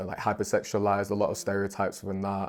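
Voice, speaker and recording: A speaker with a Northern English accent is heard on a very clean recording with a silent background. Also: man. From Manchester, England. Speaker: hip-hop artist. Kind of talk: podcast interview answer. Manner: casual, hesitant.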